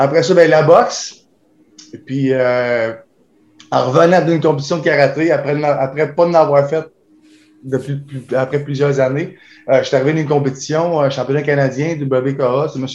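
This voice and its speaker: A man with a Quebec accent, fairly high in pitch, with fairly even intonation, a moderate pace and long, frequent pauses. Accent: Québécois French. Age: 40s. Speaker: kickboxer. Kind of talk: interview.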